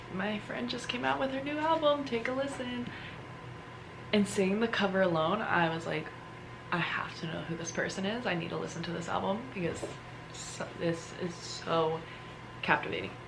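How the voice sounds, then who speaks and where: Whispering at a moderate pace with long, frequent pauses, a woman is heard with audible room echo and noticeable background noise. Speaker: lifestyle vlogger. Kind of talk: casual vlog talk. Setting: at home. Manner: animated.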